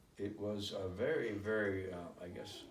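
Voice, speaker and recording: Speaking at a fairly slow pace, a man has a fairly low, somewhat breathy voice, with audible room echo. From Germany (Hamburg), moved to US Midwest at 10. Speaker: immigrant recounting life story. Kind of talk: interview.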